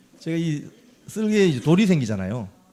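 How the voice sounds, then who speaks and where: With a Gyeongsang accent, a man speaks at a fairly quick pace in a dark, mellow tone with very wide pitch swings. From Gyeongsang region, South Korea. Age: 50s. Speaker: former journalist and election candidate. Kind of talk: interview.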